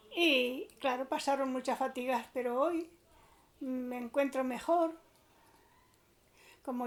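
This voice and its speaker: The woman speaks at a very slow pace. Her pitch is high. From Spain, Aranjuez. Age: 80s. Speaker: elderly witness. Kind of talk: testimony.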